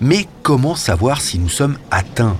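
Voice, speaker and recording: Against noticeable background noise, the speech moves at a very slow pace with very wide pitch swings. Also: man. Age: 50s. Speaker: journalist presenting a health podcast. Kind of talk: scripted narration.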